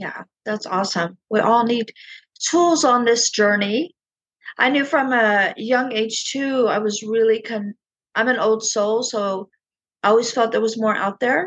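A woman speaks at a fairly slow pace in a plain, everyday voice. Her pitch sits fairly high, with ordinary pitch variation. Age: 50s. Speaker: podcast host and spiritual coach. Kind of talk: interview.

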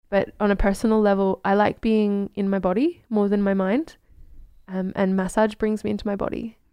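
A woman with an Australian accent speaks at medium pitch and a moderate pace, in a dark, mellow tone. Her intonation is fairly even, and the background is quiet. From Australia, Queensland. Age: 30s. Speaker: herbalist. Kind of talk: casual chat.

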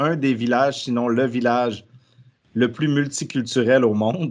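A man with medium pitch, ordinary pitch variation and a normal speaking voice talks over a quiet background. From Quebec. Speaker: podcast host. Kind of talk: casual interview.

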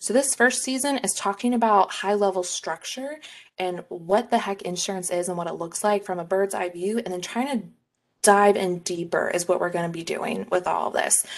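A woman with an American accent, an ordinary speaking voice, medium pitch, ordinary pitch variation and a moderate pace. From Texas. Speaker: podcast co-host, insurance sales rep. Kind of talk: casual chat.

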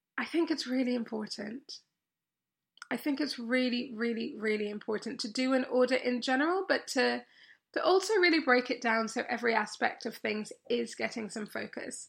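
A woman with an English accent speaks at a high pitch, a moderate pace and ordinary pitch variation. The recording is very clean, with a silent background. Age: 30s. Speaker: podcast host and coach. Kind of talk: solo podcast monologue. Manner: animated.

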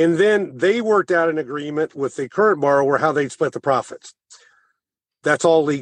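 A man with a normal speaking voice and an American accent, fairly high in pitch with ordinary pitch variation, at a moderate pace in a dry, close sound with no echo. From rural Missouri (Thayer). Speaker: former banker and author. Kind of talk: interview.

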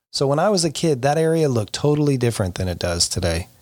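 Very wide pitch swings mark a man's speech in an American accent. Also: very clean recording, silent background. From Florida. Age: 50s. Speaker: podcast host, youth soccer club director. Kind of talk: solo podcast monologue.

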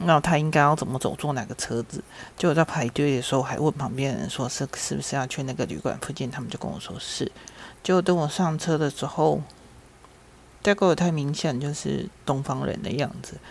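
A woman with a very deep, low pitch speaks at a fairly quick pace with vocal fry. Her pitch varies in an ordinary way. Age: 50s. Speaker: podcast host. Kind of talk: personal storytelling monologue.

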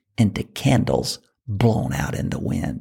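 The recording is very clean, with a silent background. A man speaks in a somewhat breathy voice with a dark, mellow tone. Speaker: podcast host and fundraising coach. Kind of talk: motivational monologue. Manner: passionate, sometimes raises voice.

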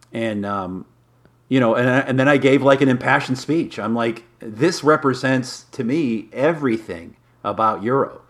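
He speaks with a Midwestern American accent. The man's pace is moderate. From Michigan, Detroit area. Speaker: magazine publisher and modeler. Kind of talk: interview.

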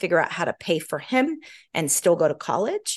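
In an American accent, the voice swings very widely in pitch, recorded dry and close with no echo against a quiet background. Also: woman. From US South, Georgia, then California from age nine. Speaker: entrepreneur. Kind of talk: interview conversation. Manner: animated.

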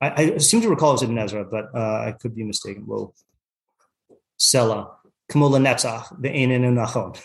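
A man's fairly quick delivery in an American accent, with vocal fry, ordinary pitch variation and long, frequent pauses. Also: medium pitch for a man. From US Pacific Northwest (Yakima, Washington). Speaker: rabbi and Torah teacher. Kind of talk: text study class. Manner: halting, many fillers.

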